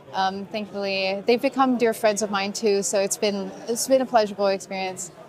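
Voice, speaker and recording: Fairly quick and with fairly even intonation, a woman speaks over noticeable background noise. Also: medium pitch for a woman. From Brazil. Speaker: community organizer. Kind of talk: casual interview. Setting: event lounge at a conference.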